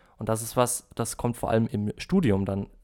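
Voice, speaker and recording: This man's voice has a dark, mellow tone, with fairly even intonation at a moderate pace. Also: very clean recording, silent background. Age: 20s. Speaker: business informatics student. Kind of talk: casual chat.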